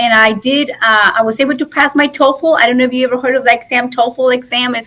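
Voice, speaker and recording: The speaker moves at a fairly quick pace with fairly even intonation. Noticeable background noise runs underneath. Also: woman. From northern Mexico. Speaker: nonprofit leader. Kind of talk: podcast interview. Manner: conversational with frequent fillers.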